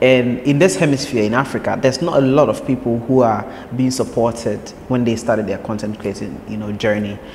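Background noise is noticeable. Over it, a man talks fairly quickly at a medium pitch. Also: ordinary pitch variation. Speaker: podcast host. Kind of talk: interview.

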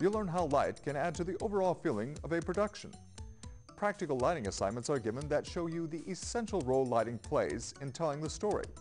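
A man talks at a very fast pace, his pitch swinging very widely. Faint music plays in the background. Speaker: spokesperson. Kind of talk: PSA spokesperson read to camera. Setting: TV studio. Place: studio.

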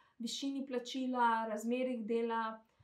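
In a Macedonian accent, the voice holds a monotone, flat intonation, with audible room echo and a quiet background. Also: woman. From North Macedonia, Skopje; North Macedonia. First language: Macedonian (speaking Slovenian). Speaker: translator. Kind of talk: testimony. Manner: halting. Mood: calm, somewhat hesitant. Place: home room. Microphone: phone near.

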